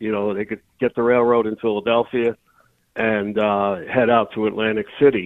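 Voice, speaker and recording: In a plain, everyday voice, a man of medium pitch speaks at a moderate pace with fairly even intonation. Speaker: local historian and author. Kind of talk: radio interview.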